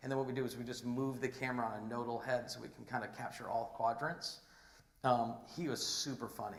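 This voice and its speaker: A man at medium pitch talks at a fairly quick pace with monotone, flat intonation, amid noticeable background noise and audible room echo. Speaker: entrepreneur, conference speaker. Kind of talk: conference talk with slides. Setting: stage with audience. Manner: halting, many fillers and restarts; fast, rushing to finish.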